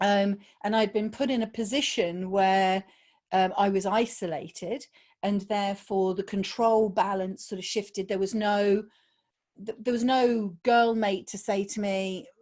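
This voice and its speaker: A woman speaks fairly slowly with a British accent at a medium pitch. Her intonation is fairly even, and the recording is very clean with a silent background. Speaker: podcast guest sharing abuse survival story. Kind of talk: personal testimony interview. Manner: hesitant, with fillers.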